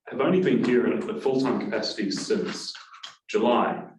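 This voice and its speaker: Audible room echo surrounds a man speaking with a slight New Zealand accent. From New Zealand (Auckland). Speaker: university lecturer. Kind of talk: class introduction. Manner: hesitant, many fillers.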